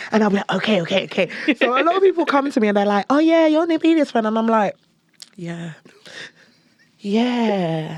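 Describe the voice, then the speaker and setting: A woman's fairly high voice with very wide pitch swings and long, frequent pauses. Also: fairly quick pace. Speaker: creative, podcast guest. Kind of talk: casual chat. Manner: loud; animated.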